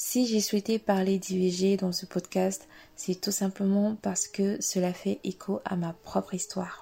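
At a very slow pace, a woman speaks in a medium pitch with monotone, flat intonation and a dark, mellow, somewhat breathy tone. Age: 20s. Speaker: podcast host. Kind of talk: solo podcast introduction.

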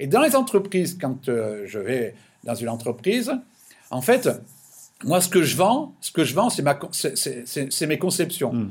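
A man's fairly high, somewhat breathy voice at a fairly slow pace, with very wide pitch swings and long, frequent pauses. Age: 60s. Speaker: business consultant. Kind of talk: interview. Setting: remote call from his office. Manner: halting, many repetitions.

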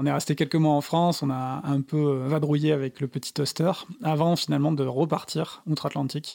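In a dry, close sound with no echo, a man with a fairly high pitch talks at a moderate pace in a monotone, flat way. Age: 30s. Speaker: architect turned van traveller and author. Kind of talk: interview. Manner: halting.

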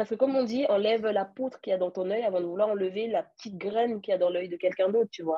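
With hardly any pauses, the words pour out at a very fast pace and ordinary pitch variation. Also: woman, medium pitch for a woman. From France. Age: 30s. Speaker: egg donor. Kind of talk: interview.

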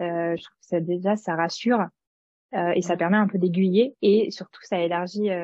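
A woman speaks at medium pitch with fairly even intonation. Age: 30s. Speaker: former scientific researcher. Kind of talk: casual interview chat. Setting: recorded conversation over tea. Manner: halting, many hesitations.

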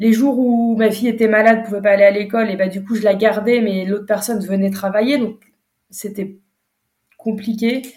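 A somewhat breathy female voice, fairly high in pitch, with monotone, flat intonation. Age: 30s. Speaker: entrepreneur, brand founder. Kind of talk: interview. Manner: hesitant, many fillers.

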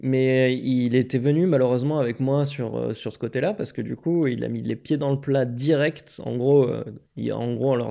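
Speaking at a moderate pace, a man with a medium-pitched voice and a dark, mellow tone keeps his intonation fairly even. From southern France, Aix-en-Provence. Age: 30s. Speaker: software developer, former game shop owner. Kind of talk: interview. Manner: hesitant, many fillers.

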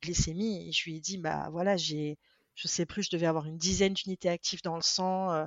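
Her voice is fairly low in pitch. The woman's intonation is monotone and flat. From France, Venezuelan family. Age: 30s. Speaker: social media creator on diabetes. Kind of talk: interview. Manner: hesitant, many fillers.

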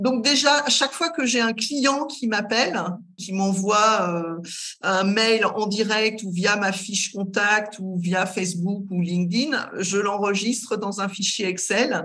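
A woman's medium-pitched voice at a very slow pace, with ordinary pitch variation, audible room echo and noticeable background noise. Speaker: career guidance counsellor, entrepreneur. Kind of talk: casual interview.

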